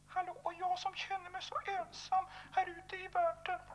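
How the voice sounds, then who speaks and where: A man performs a cartoonish character voice. His pitch is extremely high. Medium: puppet show. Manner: cheerful, then plaintive.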